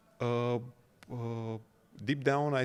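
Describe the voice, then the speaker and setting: This man has a Romanian accent. He speaks at a very slow pace. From Romania, small town. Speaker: 3D artist. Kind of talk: interview. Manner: halting, many filler sounds.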